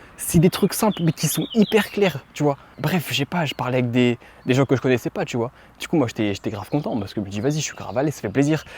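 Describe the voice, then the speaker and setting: Speaking very fast, this man rushes through his words. His intonation rises and falls in a lively way. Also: fairly high pitch for a man, dry, close sound with no echo. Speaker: vlogger. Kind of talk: casual talk to camera. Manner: improvised, unscripted.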